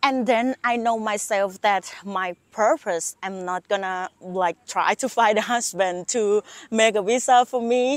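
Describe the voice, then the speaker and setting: A woman's fairly high voice at a fairly slow pace with hardly any pauses and ordinary pitch variation, on a dry, close, very clean recording with a silent background and no echo. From Thailand. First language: Thai. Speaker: YouTuber. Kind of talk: casual vlog monologue.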